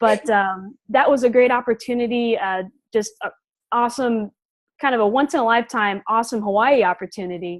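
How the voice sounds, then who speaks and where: A woman speaks in a plain, everyday voice at a fairly quick pace. Her pitch is fairly high with ordinary variation, and the background is quiet. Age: 20s. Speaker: house sitter. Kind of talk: panel interview.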